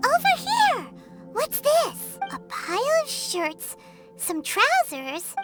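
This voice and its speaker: A cartoonish character voice at an extremely high pitch speaks at a very slow pace over loud music in the background. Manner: lively, chatty, high-energy.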